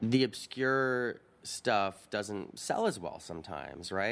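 In an ordinary speaking voice, a man talks at a fairly slow pace with lively intonation on a very clean recording with a silent background. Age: 30s. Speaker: opera and film director. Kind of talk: interview. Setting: opera house balcony.

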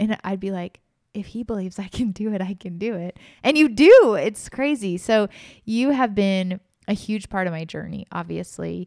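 Her sound is dry and close with no echo, in an ordinary speaking voice at medium pitch with ordinary variation. The woman speaks at a moderate pace with big swings in loudness. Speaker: podcast host and author. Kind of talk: casual chat.

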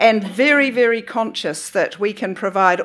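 In a very clean recording with a silent background, a woman with a New Zealand accent speaks at a fairly slow pace, her medium-pitched voice showing ordinary pitch variation. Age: 60s. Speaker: author and academic. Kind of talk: talk at a book festival. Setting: stage with audience.

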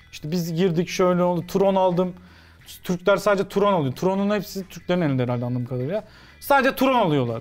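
Music plays in the background as a man talks at a very fast pace. His voice is high-pitched with lively intonation. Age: 30s. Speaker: sports commentator. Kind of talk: casual chat.

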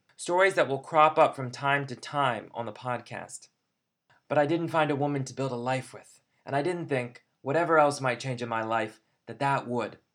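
A man with a plain, everyday voice speaks at a fairly high pitch and a moderate pace. His loudness swings widely, with ordinary pitch variation. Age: 30s. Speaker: podcast host, teacher and poet. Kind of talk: scripted monologue. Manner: formal.

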